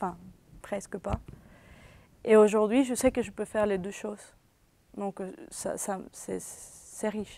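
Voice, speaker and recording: Very slow, with long, frequent pauses, a woman speaks in a dark, mellow tone with fairly even intonation and big swings in loudness. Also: medium pitch for a woman. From Venezuela. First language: Spanish (speaking French). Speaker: university student. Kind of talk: interview. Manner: halting.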